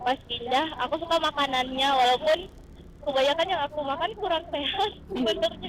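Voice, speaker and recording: Here a woman is speaking. Her pitch is high. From Manado, North Sulawesi. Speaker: student, motorbike taxi passenger. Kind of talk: casual chat.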